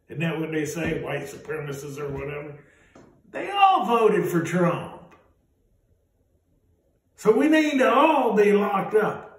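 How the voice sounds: A slow delivery with long, frequent pauses, strong room echo and big swings in pitch. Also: man, high pitch for a man.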